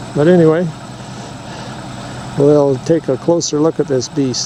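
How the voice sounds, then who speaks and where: With noticeable background noise behind him, a man speaks fairly slowly at a fairly high pitch and with fairly even intonation. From rural North America, family homestead. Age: 70s. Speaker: video creator. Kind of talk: casual chat.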